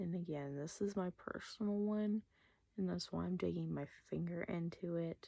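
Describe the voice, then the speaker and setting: Soft-spoken, a woman talks at a moderate pace. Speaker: makeup artist. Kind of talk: makeup tutorial.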